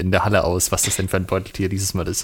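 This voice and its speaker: Through noticeable background noise, a man talks at a very fast pace in a fairly low pitch. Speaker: podcast co-host on historical fencing. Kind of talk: casual chat over video call.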